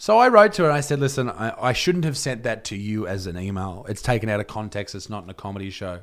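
In an Australian accent, the speaker talks very fast with hardly any pauses, lively intonation, and big swings in loudness. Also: man, medium pitch for a man. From Australia, Newcastle NSW. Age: 20s. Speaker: comedian and YouTuber. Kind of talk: casual chat. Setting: studio.

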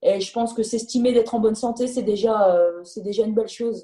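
A dark, mellow, somewhat breathy voice at a very fast pace with fairly even intonation. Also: woman. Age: 30s. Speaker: professional footballer. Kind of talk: interview.

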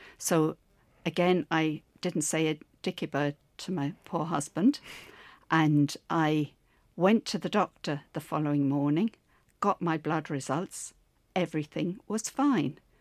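With an Irish accent, a woman speaks in a very deep, low voice at a fairly slow pace, with ordinary pitch variation and long, frequent pauses. The recording is very clean and dry, close with no echo and a silent background. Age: 70s. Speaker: stroke survivor and gym client. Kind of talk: interview.

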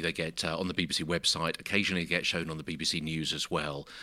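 This man with a British accent has a bright, sharp tone, captured in a very clean recording with a silent background. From UK. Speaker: broadcaster and social media producer. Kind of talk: interview. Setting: hotel room.

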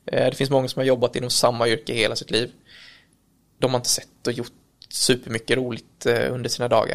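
Talking at a fairly quick pace yet with long, frequent pauses, a man of medium pitch keeps a monotone, flat intonation. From Kalmar, Sweden. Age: 30s. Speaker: electrician and business owner. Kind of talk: casual interview. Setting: recorded on location at an office.

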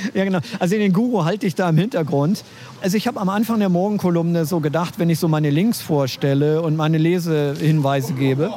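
A man speaks at a very fast pace in a high pitch. His loudness is very even, and the background noise is noticeable. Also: ordinary pitch variation. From Schleswig-Holstein, Germany. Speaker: online journalist and columnist. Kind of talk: casual interview chat. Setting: outdoors in front of a cafe.

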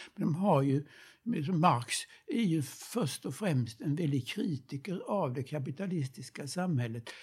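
Somewhat breathy and fairly high-pitched, a man speaks very slowly with lively intonation. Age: old. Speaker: retired professor of history of ideas. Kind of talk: reflective conversation. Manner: halting.

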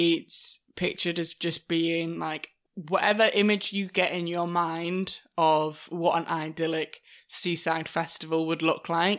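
A British accent from a woman with a fairly low pitch, flat monotone intonation and a fairly slow pace, on a very clean recording with a silent background. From Britain. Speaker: podcast co-host. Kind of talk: casual chat.

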